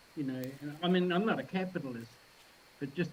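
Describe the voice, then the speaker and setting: A man with a New Zealand accent talks at a fairly quick pace in a somewhat breathy voice. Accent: New Zealand accent, heard as Australian. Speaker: filmmaker. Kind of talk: casual chat.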